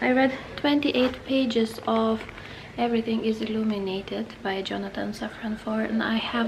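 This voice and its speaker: Over noticeable background noise, a woman with a non-native accent speaks at a moderate pace. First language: not English. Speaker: booktuber. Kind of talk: casual vlog. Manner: halting.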